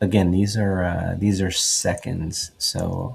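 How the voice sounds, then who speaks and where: A man speaks quietly. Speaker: sports photographer. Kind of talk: tutorial. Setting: at home at night. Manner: quiet, low voice; casual, many fillers.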